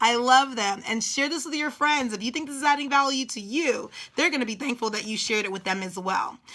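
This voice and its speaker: Raised and projected, a woman's high, bright, sharp voice carries an animated tone and lively intonation. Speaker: business coach. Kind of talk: live stream coaching talk. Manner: fast.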